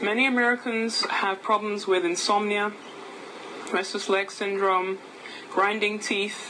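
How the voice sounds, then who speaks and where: Speaking with an English accent, a woman keeps a medium pitch and monotone, flat intonation at a fairly slow pace, with long, frequent pauses and noticeable background noise. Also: very even loudness. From England. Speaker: nutritionist and naturopath. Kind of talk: product talk.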